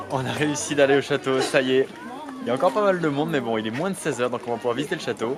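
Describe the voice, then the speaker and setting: Over crowd noise in the background, a man talks at a very fast pace. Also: medium pitch for a man, ordinary pitch variation. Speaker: travel vlogger. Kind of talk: casual vlog talk. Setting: outdoors in a field by a camper van. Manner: soft-spoken.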